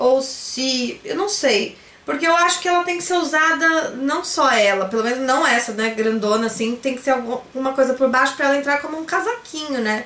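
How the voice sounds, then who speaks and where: In a Brazilian accent, a woman with a high-pitched voice talks at a moderate pace with hardly any pauses, her tone animated and intonation lively amid audible room echo. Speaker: YouTuber, online shop owner; YouTuber. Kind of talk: haul vlog, casual talk to camera. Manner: chatty, animated. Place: home room. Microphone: phone near.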